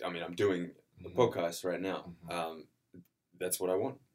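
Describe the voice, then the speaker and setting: Male voice with an Australian accent. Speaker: actor. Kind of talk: casual interview.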